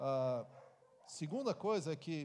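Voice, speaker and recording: A man speaks at a fairly high pitch, his intonation lively. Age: 60s. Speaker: pastor. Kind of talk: Q&A answer at church conference.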